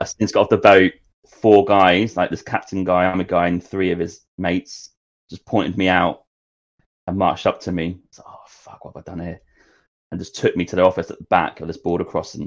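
A man with a Norfolk accent speaks at a fairly quick clip in a very deep, low voice, his intonation monotone and flat while his loudness swings widely against a quiet background. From England, Norwich. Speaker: travel podcaster. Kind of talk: casual chat. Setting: studio.

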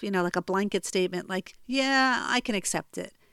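A woman with a New Jersey accent talks at a moderate pace with lively intonation. The recording is very clean with a silent background and a dry, close sound with no echo. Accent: American (New Jersey). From US, New Jersey. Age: 40s. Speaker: life coach and podcast host. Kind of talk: solo podcast monologue, storytelling. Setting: home recording in childhood bedroom.

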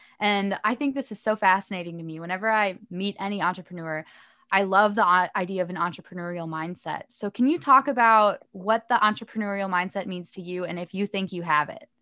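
In a very clean recording with a silent background, a woman with a medium pitch and a bright, sharp tone speaks at a fairly quick pace with hardly any pauses, ordinary pitch variation and big swings in loudness. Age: 20s. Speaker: podcast host. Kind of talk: interview. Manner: animated.

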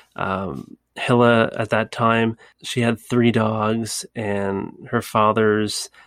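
A very clean recording with a silent background, in a Maritime Canadian accent with fairly even intonation. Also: man. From Canada, Nova Scotia. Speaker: podcast host. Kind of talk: solo travel storytelling. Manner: casual, conversational.

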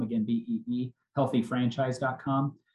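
This man has an American accent and a medium-pitched voice. There is a somewhat breathy quality to it. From Oklahoma. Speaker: restaurant chain CEO. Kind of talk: casual interview.

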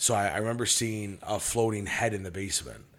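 This man talks at a fairly quick pace in a medium pitch. He has a plain, everyday voice. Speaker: business executive and medium. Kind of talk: casual chat.

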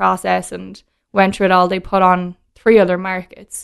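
The voice keeps a monotone, flat intonation at a moderate pace over a quiet background. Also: woman. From Ireland (Dublin). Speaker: whiskey brand ambassador. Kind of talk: casual chat.

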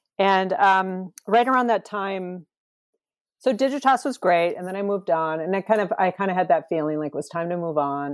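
A plain, everyday voice from a woman with an American accent, medium in pitch, at a fairly quick pace with ordinary pitch variation, in a dry, close sound with no echo. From US Midwest (rural Wisconsin). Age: 50s. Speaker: talent acquisition manager, former art director. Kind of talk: interview conversation. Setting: remote call.

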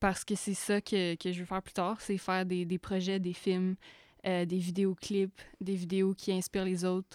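In a very clean recording with a silent background and a dry, close sound with no echo, a woman speaks at a medium pitch, fairly slowly, in a monotone, flat intonation. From Quebec (Outaouais). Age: young. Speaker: filmmaker. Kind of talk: casual chat. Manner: code-switching French-English.

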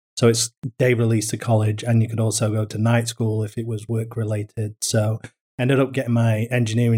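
In a very clean recording with a silent background, a man speaks at a fairly quick pace and medium pitch in a monotone, flat intonation, his tone dark and mellow, somewhat breathy, with a dry, close sound and no echo. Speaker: florist business co-owner, former engineer. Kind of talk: casual interview.

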